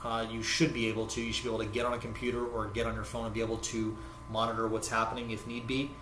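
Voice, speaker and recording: With an American accent, a man talks over noticeable background noise and audible room echo. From United States. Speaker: forex trading educator. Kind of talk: tutorial. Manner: halting, many fillers.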